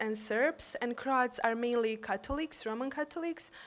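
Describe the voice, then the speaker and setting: Speaking at a fairly slow pace with a Bosnian accent, a woman uses a high pitch and fairly even intonation. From Bosnia and Herzegovina. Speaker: university staff and youth peace activist. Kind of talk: conference speech.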